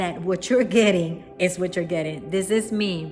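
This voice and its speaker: A woman at a medium pitch and a fairly slow pace, in a strong Puerto Rican accent, with music in the background. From Puerto Rico. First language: Spanish. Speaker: spiritual wellness teacher. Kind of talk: talk to camera, teaching. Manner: unscripted, with fillers and self-corrections.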